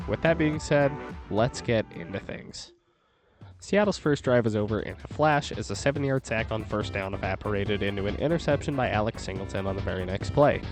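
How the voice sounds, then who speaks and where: Music plays behind a man talking at a fairly quick pace. His fairly low voice has lively intonation. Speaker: sports podcast host. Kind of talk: sports game recap commentary. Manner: low-energy.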